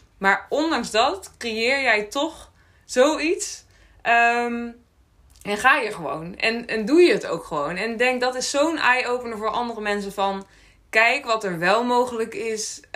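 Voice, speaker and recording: Her tone is bright and sharp, with lively intonation and a fairly high pitch. This woman speaks very slowly. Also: very clean recording, silent background. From Friesland, Netherlands. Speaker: podcast host. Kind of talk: podcast interview.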